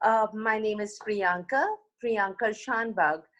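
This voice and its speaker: A woman's fairly high-pitched voice. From India (New Delhi). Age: 60s. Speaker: yoga teacher. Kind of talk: casual interview, then guided meditation. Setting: video call.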